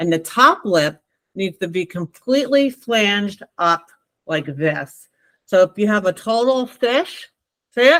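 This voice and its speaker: Heard dry and close with no echo, a woman with a New Jersey accent talks at a fairly slow pace and medium pitch, with very wide pitch swings. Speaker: lactation consultant. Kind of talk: class instruction. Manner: casual, conversational.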